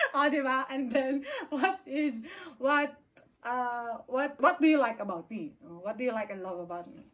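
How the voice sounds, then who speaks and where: A woman's high-pitched voice with lively intonation, big swings in loudness and a moderate pace. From Philippines, Aklan. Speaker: vlogger. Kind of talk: casual Q&A chat. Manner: code-switching Taglish.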